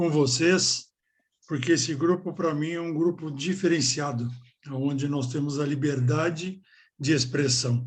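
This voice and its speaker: Here a man talks with a fairly high, somewhat breathy voice. His pace is fairly slow and his intonation fairly even. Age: 60s. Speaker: member of a spiritual order. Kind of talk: group discussion.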